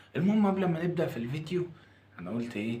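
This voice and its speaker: There is audible room echo around a quiet man's voice. He talks at a fairly quick pace with ordinary pitch variation. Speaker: food reviewer YouTuber. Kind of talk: casual food review vlog. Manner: lowered voice, quiet.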